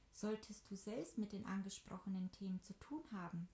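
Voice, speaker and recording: A dark, mellow tone comes through in a somewhat breathy voice. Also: woman. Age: 20s. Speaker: podcast host. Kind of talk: scripted introduction; read-out disclaimer.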